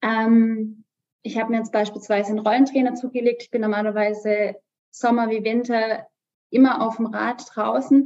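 A woman at a fairly high pitch, dark and mellow in tone, with monotone, flat intonation and big swings in loudness. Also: moderate pace. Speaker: amateur cyclist and mother. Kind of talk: casual chat.

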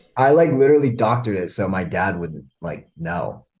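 This man has a plain, everyday voice and lively intonation. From Canada. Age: 20s. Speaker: podcast guest. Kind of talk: casual chat. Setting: video call.

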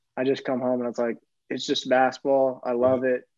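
American accent in a man's voice of medium pitch. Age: 30s. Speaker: former college basketball player, pro basketball player. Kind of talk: casual chat. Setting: video call.

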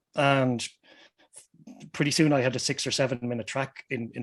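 This man speaks at a moderate pace in an Irish Midlands accent, his intonation monotone and flat. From Ireland, Westmeath. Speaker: musician. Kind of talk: casual chat.

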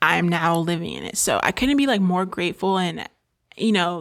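A woman speaks at a moderate pace with a medium pitch. The recording is very clean, with a silent background. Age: 20s. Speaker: podcast host and YouTuber. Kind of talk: casual solo chat. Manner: filler-heavy, halting.

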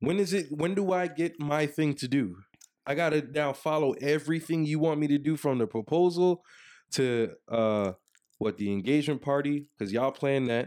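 A man with an unremarkable speaking voice talks at a moderate pace and a fairly high pitch, with lively intonation and very even loudness. The recording is very clean, with a silent background. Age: 30s. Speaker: podcast co-host. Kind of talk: casual chat. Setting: video recording.

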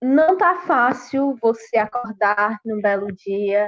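At a medium pitch, a woman speaks at a very slow pace. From Brazil, interior of Ceará (sertão). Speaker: rural trade union youth leader. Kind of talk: online panel debate. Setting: online live stream.

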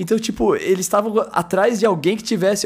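A man is speaking. His pace is fairly quick. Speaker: football podcast host. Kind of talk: casual chat. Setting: online call.

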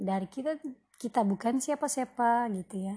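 Her voice is high-pitched with a dark, mellow tone, and this woman speaks with lively intonation. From West Sumatra (Minang, Pariaman family). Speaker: podcaster, housewife and writer. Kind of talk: solo podcast introduction. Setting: recorded late at night.

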